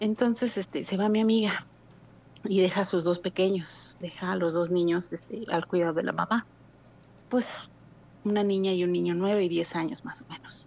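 A woman speaks at medium pitch and a moderate pace with fairly even intonation. She leaves long, frequent pauses. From Mexico City. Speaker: caller. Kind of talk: phone-in storytelling. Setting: phone call.

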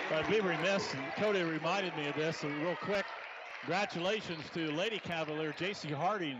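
Noticeable background noise sits behind a man with a high voice. He talks fairly quickly with ordinary pitch variation. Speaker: radio play-by-play announcer. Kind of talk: live radio basketball play-by-play commentary. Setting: gymnasium, live radio broadcast. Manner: rapid-fire, clipped and excitable, calling passes, steals and fouls as they happen.

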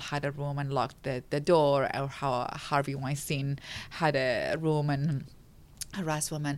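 A woman speaks with an Arabic accent. Her pitch is very deep and low. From Iraq, Baghdad. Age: 40s. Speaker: women's rights advocate. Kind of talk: interview.

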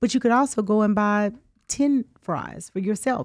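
A woman in a Southern US accent at a fairly slow pace. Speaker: attorney. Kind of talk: radio call-in talk. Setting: radio studio.

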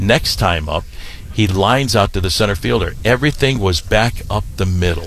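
Over noticeable background noise, a man with a fairly low pitch speaks at a moderate pace with lively intonation and very even loudness. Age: 60s. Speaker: baseball play-by-play broadcaster. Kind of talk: casual interview.

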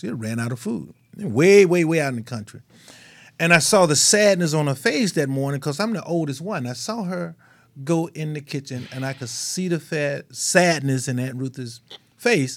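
With a Mississippi accent and lively intonation, a man speaks at a moderate pace and a fairly high pitch on a very clean recording with a silent background. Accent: Southern US (Mississippi). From US South, Mississippi. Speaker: radio talk show host. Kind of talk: casual chat. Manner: animated.

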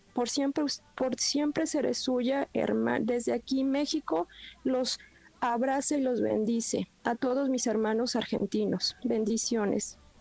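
A high-pitched woman with a Mexican accent, fairly slow, very even in loudness, with ordinary pitch variation and a dry, close sound with no echo. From Mexico. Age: 40s. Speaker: caller. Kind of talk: testimony. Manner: halting.

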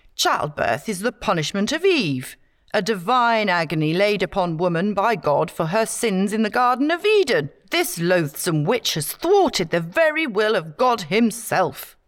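A put-on character voice with hissing, fairly high in pitch, comes at a moderate pace on a very clean recording with a silent background. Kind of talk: pompous, self-righteous. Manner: hissing, enraged.

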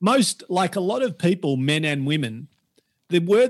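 This man, with an Australian accent, talks at a moderate speed. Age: 50s. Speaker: personal trainer. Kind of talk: casual interview. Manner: animated.

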